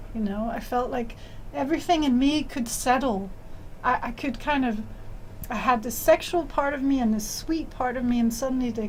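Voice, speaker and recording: Audible room echo fills the space. The woman's voice is high in pitch. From Denmark. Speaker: author and tantra teacher. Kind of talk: interview.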